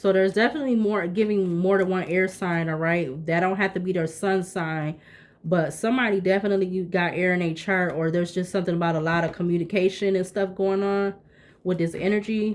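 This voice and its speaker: A woman talks fairly quickly at a medium pitch, with fairly even intonation and very even loudness. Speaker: tarot reader. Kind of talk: tarot reading. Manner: fast.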